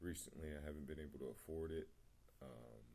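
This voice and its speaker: In a very deep, low voice with a dark, mellow tone, a man speaks in a flat monotone at a moderate pace. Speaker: spiritual vlogger. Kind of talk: personal testimony. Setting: home meditation spot. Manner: mumbling; hesitant, many fillers.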